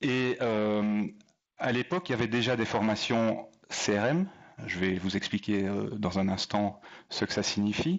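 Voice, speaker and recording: With a slight Belgian accent, a man speaks at a fairly low pitch and a fairly slow pace. His loudness stays very even. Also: ordinary pitch variation. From Belgium. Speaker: airline pilot and leadership speaker. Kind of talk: talk to an audience. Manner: hesitant, many fillers.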